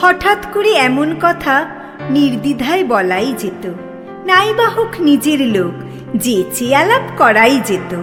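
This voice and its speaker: A woman's high voice with very wide pitch swings, music playing in the background. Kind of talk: poetry reading. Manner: soft-spoken.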